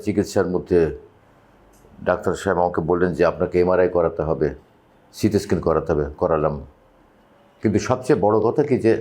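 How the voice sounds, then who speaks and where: This man has a very deep, low pitch and a dark, mellow tone, with ordinary pitch variation and very even loudness. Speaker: patient testimonial, TV personality. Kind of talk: testimony. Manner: halting.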